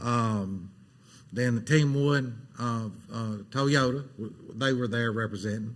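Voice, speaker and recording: Audible room echo surrounds a man with an Alabama accent who speaks with fairly even intonation. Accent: Southern US (Alabama). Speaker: city council member. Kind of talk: council meeting remarks. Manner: fast.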